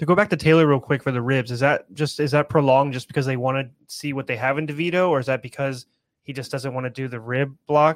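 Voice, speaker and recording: A very fast-talking man with a fairly high pitch. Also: fairly even intonation. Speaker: podcast co-host and betting analyst. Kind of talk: casual sports chat.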